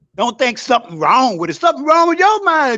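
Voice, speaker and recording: With a bright, sharp tone, a man uses a raised, projected voice and lively intonation. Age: 70s. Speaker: caller on a live discussion stream. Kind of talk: heated debate. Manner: animated.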